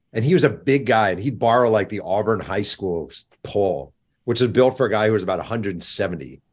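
With an American accent, a man speaks in a normal speaking voice at medium pitch with lively intonation. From New York. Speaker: sports journalist and author. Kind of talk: interview.

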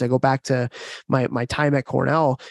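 A man with a fairly high pitch, an ordinary speaking voice, and fairly even intonation, recorded dry and close with no echo. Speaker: podcast host and hockey coach. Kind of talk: casual podcast conversation.

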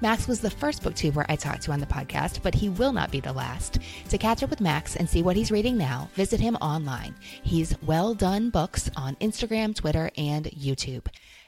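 Music plays behind a woman whose very deep, low voice swings very widely in pitch as she speaks at a moderate pace. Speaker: podcast host. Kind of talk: warm, conversational book talk.

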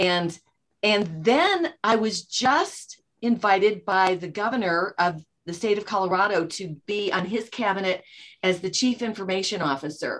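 With an American accent, a woman talks at a moderate pace in an ordinary speaking voice, her medium pitch showing ordinary pitch variation. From US Midwest, Chicago suburbs. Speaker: author and entrepreneur. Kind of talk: interview.

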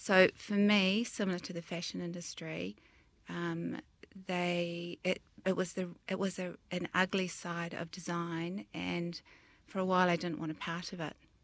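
Speaking in a New Zealand accent, a woman keeps a fairly slow pace and a fairly low pitch. Her intonation is monotone and flat. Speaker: interior designer and business founder. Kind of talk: interview.

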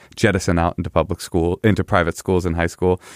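Over a silent background in a very clean recording, the voice comes through dry and close with no echo, in an American accent at a very fast pace. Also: man. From East Bay, California. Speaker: comedian and writer. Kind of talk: casual interview chat.

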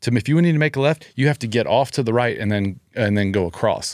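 A man with an American accent speaks at a fairly quick pace with lively intonation, in an unremarkable speaking voice. The recording is very clean, with a silent background. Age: 40s. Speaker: gym owner. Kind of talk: casual chat.

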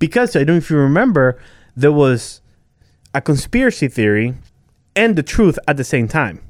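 A man with an American accent, fairly high pitch, very wide pitch swings, and moderate pace. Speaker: podcast guest. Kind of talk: casual chat. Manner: animated.

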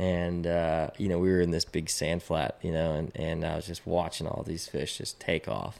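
In a Texan accent, a man speaks at a moderate pace with hardly any pauses. His voice is very deep and low, with fairly even intonation. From Texas, Austin. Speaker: fly fishing guide. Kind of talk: casual chat.

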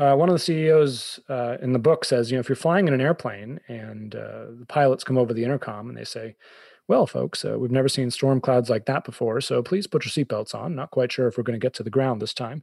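In an American accent, a man at a medium pitch talks at a fairly quick pace with hardly any pauses. His pitch varies in an ordinary way, and the sound is dry and close with no echo. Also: quiet background. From Boston, US. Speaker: author and business coach. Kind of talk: casual interview.

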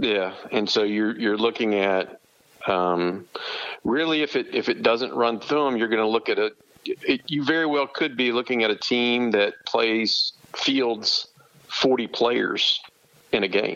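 In an ordinary speaking voice of medium pitch, a man speaks at a fairly slow pace with very even loudness and ordinary pitch variation. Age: 50s. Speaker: sports recruiting journalist and barbecue restaurant owner. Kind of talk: casual chat.

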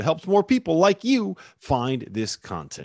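Over a quiet background, a man's voice swings very widely in pitch, with a dry, close sound and no echo. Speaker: sports podcast host. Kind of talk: scripted intro.

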